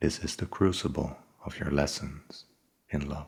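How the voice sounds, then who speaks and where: At a fairly slow pace, a man speaks in a whisper. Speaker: ASMR book reader. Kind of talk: soft-spoken ASMR book reading. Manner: soft-spoken, slow, relaxing.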